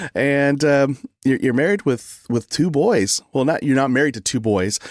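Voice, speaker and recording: Recorded dry and close with no echo, a man with an American accent talks at a moderate pace. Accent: Texas-sounding accent, per others. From California. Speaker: podcast host. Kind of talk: interview.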